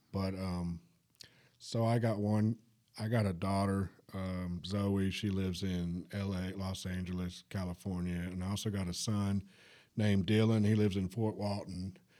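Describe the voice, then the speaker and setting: A man in a Southern US accent speaks at a moderate pace, fairly low in pitch with a dark, mellow tone. His intonation is monotone and flat, and the recording is very clean with a silent background. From Alabama, US South (Huntsville). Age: 30s. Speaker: recovery center worker, former drug addict. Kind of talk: testimony. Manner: halting.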